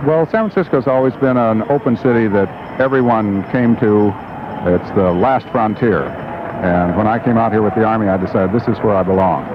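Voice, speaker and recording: A man at a medium pitch and fairly quick pace, with ordinary pitch variation and very even loudness, over noticeable background noise. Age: 50s. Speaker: army veteran. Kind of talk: street interview.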